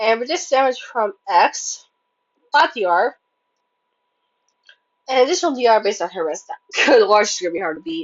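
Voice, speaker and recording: Her pitch swings very widely and her loudness in big jumps. The woman's voice is fairly high. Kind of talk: casual game reaction commentary.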